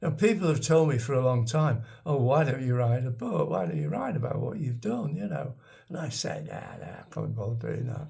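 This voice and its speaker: A man with a Lancashire accent speaks at medium pitch with very wide pitch swings and hardly any pauses. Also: moderate pace. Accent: northern English (Lancashire). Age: 80s+. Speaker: vlogger, retired expat. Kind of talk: casual storytelling monologue. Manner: halting, with repetitions.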